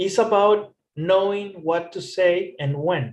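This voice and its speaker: A man speaks with a non-native accent at a high pitch. His pace is very slow, and his pitch varies in an ordinary way. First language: not English. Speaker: English teacher. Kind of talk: tutorial.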